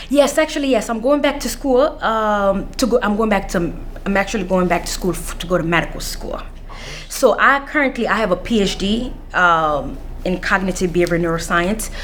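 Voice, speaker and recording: A woman speaks at a fairly quick pace with a fairly high pitch and lively intonation, and the room echo is audible. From Washington DC (Anacostia), born Central African Republic. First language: not English (English is fifth language). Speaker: counselor, scholarship recipient. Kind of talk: interview. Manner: halting, many fillers.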